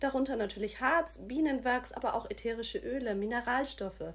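A woman's high-pitched voice at a moderate pace. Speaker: presenter. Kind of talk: promotional explainer. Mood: friendly, smiling. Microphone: phone near.

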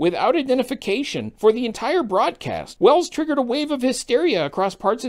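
A put-on character voice, fairly high in pitch, moves at a fairly quick pace with very wide pitch swings. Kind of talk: comedic daily news digest.

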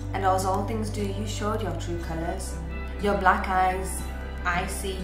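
The speaker goes at a fairly slow pace. Music is clearly audible in the background. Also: woman. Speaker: spoken word poet. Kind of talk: poetry reading. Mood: emotional, reflective, hurt. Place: home room. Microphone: webcam.

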